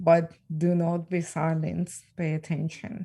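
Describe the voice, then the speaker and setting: A woman's voice sits fairly low in pitch, with a dark, mellow tone. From Ukraine. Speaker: trafficking survivor and speaker. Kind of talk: interview. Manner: shaky voice.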